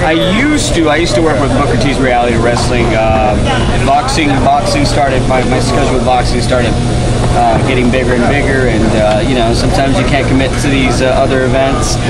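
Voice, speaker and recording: A man talks at a fairly quick pace while loud background noise fills the clip. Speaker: ring announcer. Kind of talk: interview answer. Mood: friendly, relaxed. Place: hall. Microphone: handheld.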